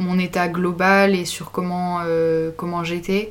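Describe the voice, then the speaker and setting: Very slow, monotone, flat speech from a woman. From France, Grenoble. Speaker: student. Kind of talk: casual chat.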